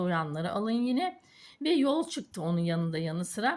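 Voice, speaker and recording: In a very clean recording with a silent background, a woman speaks at a moderate pace, somewhat breathy, with very wide pitch swings. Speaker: fortune teller. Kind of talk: coffee cup reading. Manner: hesitant with fillers.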